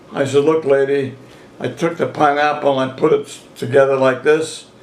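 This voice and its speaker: There is noticeable background noise behind this recording. The man speaking has a fairly high pitch. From southern Italy. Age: 80s+. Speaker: retired grocer. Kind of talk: family interview storytelling.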